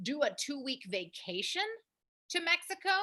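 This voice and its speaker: A woman's raised, projected voice, high in pitch and bright, sharp in tone, at a fairly slow pace. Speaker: language school founder and teacher. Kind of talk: casual chat.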